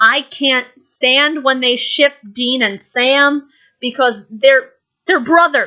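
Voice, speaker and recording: Over a quiet background, a woman uses a raised, projected voice with a bright, sharp tone. Her pitch is high, with ordinary pitch variation. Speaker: YouTube vlogger. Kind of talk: casual vlog monologue. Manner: animated; loud.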